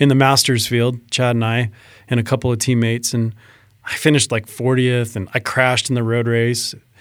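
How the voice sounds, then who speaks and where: Flat, monotone intonation marks speech delivered rather quickly. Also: man, medium pitch for a man. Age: 40s. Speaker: amateur racing cyclist and filmmaker. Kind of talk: casual chat.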